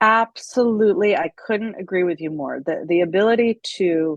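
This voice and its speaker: Heard in a dry, close sound with no echo, a woman with an unremarkable speaking voice talks at a fairly slow pace with ordinary pitch variation. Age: middle-aged. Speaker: playwright, producer, choreographer, actor. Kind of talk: interview answer.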